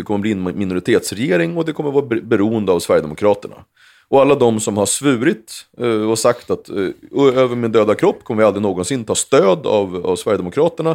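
A man talks at a fairly quick pace in a medium pitch, an unremarkable speaking voice. The recording is very clean, with a silent background. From Sweden, Uppsala area. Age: 40s. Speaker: former member of parliament. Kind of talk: casual chat.

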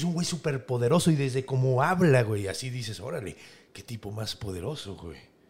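A man in a Mexican accent, somewhat breathy and animated, with lively intonation at a moderate pace, on a very clean recording with a silent background. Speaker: podcast host and storyteller. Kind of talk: storytelling in casual chat.

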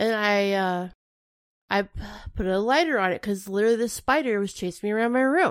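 With an ordinary speaking voice, a woman talks at a fairly quick pace and medium pitch, with ordinary pitch variation, in a very clean recording with a silent background. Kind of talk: casual chat.

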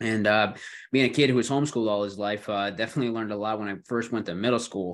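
A man talks at a very fast pace with a Western New York accent. His pitch is medium, and the background is quiet. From Buffalo, New York. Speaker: podcast host. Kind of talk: casual chat. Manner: hesitant, filler-heavy.

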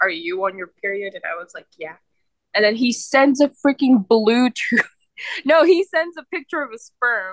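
Moving at a moderate pace, a woman speaks at a fairly high pitch with very wide pitch swings, in a dry, close sound with no echo. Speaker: podcast co-host. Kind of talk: casual chat.

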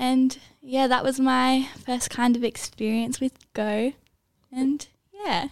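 At a very slow pace, a woman with an Australian accent speaks at a high pitch. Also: ordinary pitch variation. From Australia, Sydney. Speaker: university student. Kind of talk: casual chat.

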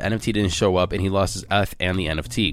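The tone is animated. The pace is very fast. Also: man. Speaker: crypto news podcast host. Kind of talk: solo news podcast.

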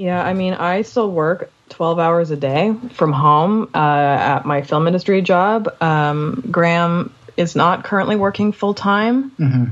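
A woman with a Canadian accent talks slowly, her pitch fairly low with ordinary variation, in an ordinary speaking voice. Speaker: podcast co-host. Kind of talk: casual interview chat.

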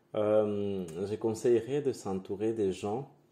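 A man with a Spanish accent, fairly low in pitch, dark and mellow in tone, at a very slow pace. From Venezuela (Guatire, near Caracas). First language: Spanish (speaking French). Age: 20s. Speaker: drag queen. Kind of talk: casual interview.

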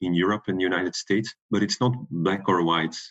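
A man speaks at a fairly quick pace with a Belgian accent. His intonation stays fairly even. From Belgium. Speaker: product security director. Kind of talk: panel interview.

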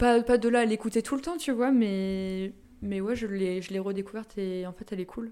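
A woman talks in a plain, everyday voice at a moderate pace. Her pitch is fairly high, with ordinary pitch variation. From Brittany, France (Saint-Brieuc, Côtes d'Armor). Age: 20s. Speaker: podcast guest, music fan. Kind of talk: casual chat.

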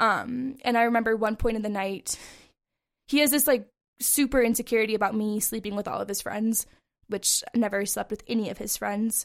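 A woman's fairly high, normal speaking voice with an American accent, fairly even intonation and a moderate pace, on a very clean recording with a silent background. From Montana, US (Bozeman). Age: 20s. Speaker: abuse survivor, barista. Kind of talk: personal testimony in interview.

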